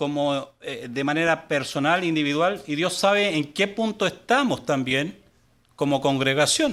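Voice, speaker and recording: On a very clean recording with a silent background, a man talks fairly slowly in a fairly high voice with ordinary pitch variation. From Chile. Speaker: guest pastor. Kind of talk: sermon. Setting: church service, live. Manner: halting, many fillers.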